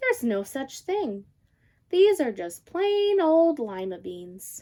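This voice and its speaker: Using a put-on character voice, a woman talks at a fairly slow pace in a high pitch, with very wide pitch swings and big swings in loudness. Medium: read story. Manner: gentle, bright.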